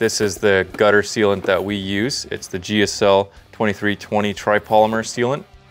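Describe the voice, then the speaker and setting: Faint music plays in the background as a man speaks in a fairly low pitch. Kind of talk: walkthrough tour explanation. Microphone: lapel.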